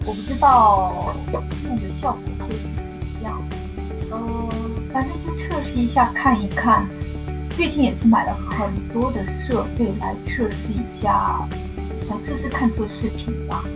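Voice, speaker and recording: Clear music plays in the background as a woman speaks at a fairly slow pace with long, frequent pauses. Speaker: novice livestream host. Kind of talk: casual talk to camera. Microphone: webcam.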